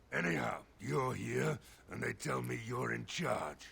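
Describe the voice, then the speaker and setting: A man puts on a raspy character voice, very deep and low, with very wide pitch swings. He goes at a fairly slow pace over light background noise. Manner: gruff, authoritative.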